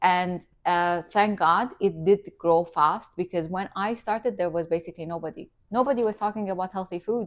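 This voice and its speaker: In an Iranian accent, the speaker talks at a fairly quick pace with hardly any pauses, ordinary pitch variation and big swings in loudness. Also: woman. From Iranian family, raised in Qatar. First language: Farsi. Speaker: entrepreneur and influencer. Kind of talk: interview. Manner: animated.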